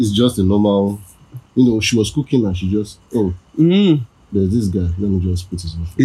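In a dark, mellow tone, a man with a fairly low pitch speaks at a moderate pace, somewhat breathy, with ordinary pitch variation. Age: young. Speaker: podcast guest, host's roommate.

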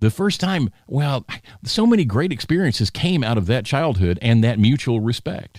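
In a very clean recording with a silent background, a man with a Southern US accent speaks at a medium pitch and a moderate pace, his pitch swinging very widely while his loudness stays very even. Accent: Southern American. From US South (Alabama). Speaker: podcast host. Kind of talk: political commentary monologue. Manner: casual, conversational.

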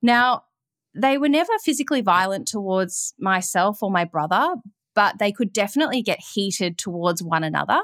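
A woman with an Australian accent at a medium pitch, lively intonation at a moderate pace, very even loudness, on a very clean recording with a silent background and a dry, close sound with no echo. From Melbourne, Australia. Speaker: yoga teacher and recovery podcaster. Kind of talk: interview, personal testimony. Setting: call.

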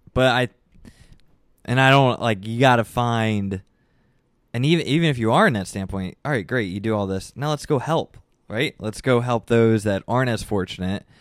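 On a very clean recording with a silent background, a man speaks at a moderate pace in a medium pitch with ordinary pitch variation. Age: 20s. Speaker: public relations worker and podcaster. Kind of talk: casual chat. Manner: animated.

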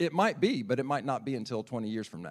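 A man with a Southern US accent and a medium pitch, talking very fast with ordinary pitch variation, on a very clean recording with a silent background. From South Carolina, Lexington area. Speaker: birding enthusiast and nature teacher. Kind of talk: sermon talk to congregation.

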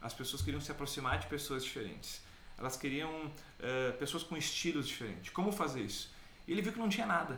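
In a room with audible echo, a man with a fairly high voice talks at a fairly quick pace, his pitch swinging very widely. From Caxias do Sul, southern Brazil. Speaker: business trainer. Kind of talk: casual chat.

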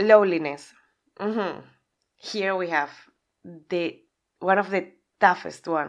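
A woman with a Spanish accent, speech marked by long, frequent pauses. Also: medium pitch for a woman. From Spain. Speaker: podcast host and aspiring life coach. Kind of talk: solo podcast monologue. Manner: loud; animated.

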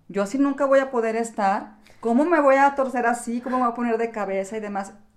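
A woman with a plain, everyday voice speaks at a fairly quick pace, her fairly high pitch moving with ordinary variation. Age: 60s. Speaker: yoga instructor and podcast co-host. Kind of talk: casual chat.

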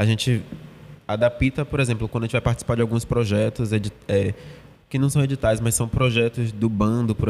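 A man's normal speaking voice, medium in pitch, with fairly even intonation and a fairly quick pace. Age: 20s. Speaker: theatre actor. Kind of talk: casual interview.

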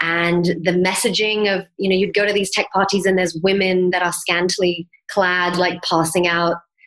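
With an American accent, a woman speaks at a moderate pace in a monotone, flat intonation. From England, then Miami, Florida from age 11. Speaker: mindset coach and yoga teacher. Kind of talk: interview.

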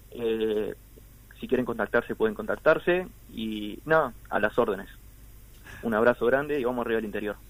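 The pitch varies in an ordinary way, broken up by long, frequent pauses. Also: man, medium pitch for a man, moderate pace. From Uruguay, Artigas (northern border). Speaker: singer-songwriter. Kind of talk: radio interview.

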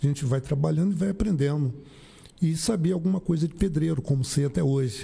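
A man talks at a fairly quick pace with a fairly high pitch and a dark, mellow tone. His voice is somewhat breathy, and his loudness stays very even. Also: ordinary pitch variation. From Rio de Janeiro, Brazil. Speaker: municipal driver. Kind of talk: casual interview.

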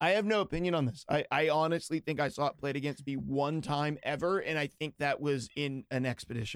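This man has an unremarkable speaking voice and an American accent. He talks at a fairly quick pace with hardly any pauses, his fairly high pitch showing ordinary variation. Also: dry, close sound with no echo. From western Pennsylvania. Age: 30s. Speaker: podcast host. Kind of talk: casual chat.

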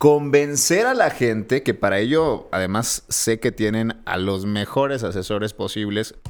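Over music in the background, a man with a medium pitch talks at a fairly slow pace with ordinary pitch variation. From Monterrey, Mexico. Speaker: podcast co-host, political commentator. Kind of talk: casual chat. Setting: studio, filmed for video.

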